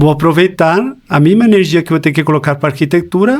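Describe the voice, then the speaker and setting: A man with a Chilean accent talks at a fairly quick pace. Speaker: life coach. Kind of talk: podcast interview.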